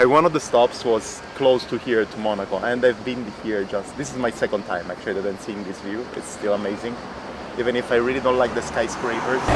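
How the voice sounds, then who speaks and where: Amid noticeable background noise, a man with an Italian accent speaks at a fairly quick pace and medium pitch with fairly even intonation. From southern Italy (Catanzaro). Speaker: podcaster and cyclist. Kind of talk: casual vlog chat.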